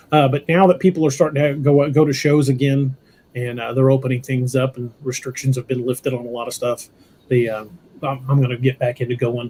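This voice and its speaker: A man with a medium pitch, a dark, mellow tone, a somewhat breathy sound and fairly even intonation at a fairly quick pace. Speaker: podcast host. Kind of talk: casual chat. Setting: livestream.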